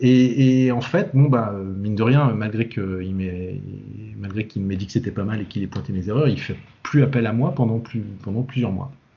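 A man speaks with a fairly low pitch and ordinary pitch variation. His voice is somewhat breathy. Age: 40s. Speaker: comics translator and editor. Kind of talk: casual chat.

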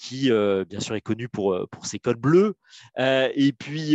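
A man at a very slow pace, with ordinary pitch variation, a dry, close sound with no echo and a quiet background. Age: 40s. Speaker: legal director in a tech company. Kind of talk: interview. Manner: halting, many repetitions and fillers; talkative.

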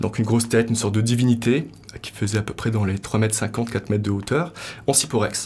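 Fairly quick, somewhat breathy speech from a man at medium pitch with fairly even intonation. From Morocco. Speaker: sculptor and artist. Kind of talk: interview. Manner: hesitant, many fillers.

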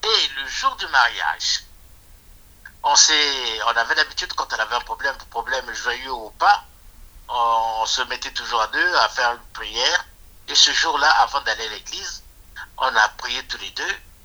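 Long, frequent pauses mark a man's speech at a fairly slow pace. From Republic of the Congo. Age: 60s. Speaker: retired anesthetist. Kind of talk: personal storytelling. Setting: phone call. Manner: halting.

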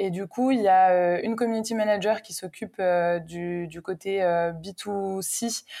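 A woman with a dark, mellow tone speaks very slowly at a medium pitch with fairly even intonation, on a very clean recording with a silent background. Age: 20s. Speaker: community manager. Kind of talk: interview.

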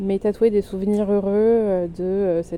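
A dark, mellow tone at a moderate pace, monotone with flat intonation. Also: woman. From southern France. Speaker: podcaster sharing her grief. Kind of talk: personal audio diary. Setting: outdoors in a cemetery.

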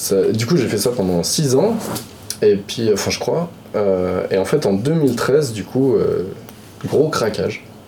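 With noticeable background noise and audible room echo, a man speaks at a very slow pace with long, frequent pauses. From France, Lyon. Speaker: video game artist. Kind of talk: casual chat.

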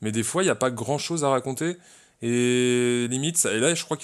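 The speech moves at a very fast pace with ordinary pitch variation. The background is quiet. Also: man. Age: 20s. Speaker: podcast co-host. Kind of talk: casual chat.

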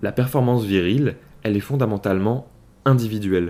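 Fairly low in pitch, this man has a plain, everyday voice. He keeps a moderate pace with ordinary pitch variation. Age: 20s. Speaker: podcast host. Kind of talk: solo podcast monologue.

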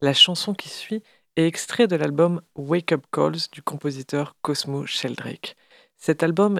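A woman's fairly low voice at a very slow pace with ordinary pitch variation. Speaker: radio host. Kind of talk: radio show presenting music and poetry.

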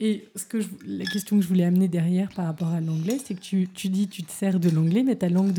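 With music playing in the background, a woman talks at a fairly quick pace with ordinary pitch variation. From Paris. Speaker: podcast host and coach. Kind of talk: casual interview.

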